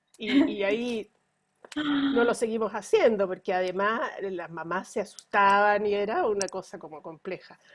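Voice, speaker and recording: A woman with a normal speaking voice talks at a fairly slow pace, her medium pitch showing ordinary pitch variation. Her volume rises and falls in big swings. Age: 60s. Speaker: pediatrician. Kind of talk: interview.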